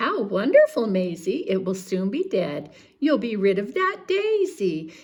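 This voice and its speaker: A fairly slow pace marks the delivery. It is done in a put-on character voice. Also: woman, medium pitch for a woman. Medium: read story.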